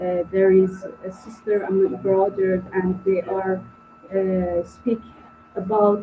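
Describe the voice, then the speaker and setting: Very slow speech amid noticeable background noise. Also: woman. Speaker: filmmaker and radio presenter. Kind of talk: panel discussion. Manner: halting, non-fluent English.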